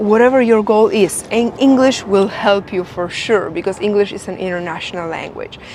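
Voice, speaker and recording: Against noticeable background noise, a woman with a slight Polish accent speaks at medium pitch and a moderate pace. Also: ordinary pitch variation. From Poland. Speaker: English teacher and influencer. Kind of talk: tutorial. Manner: animated.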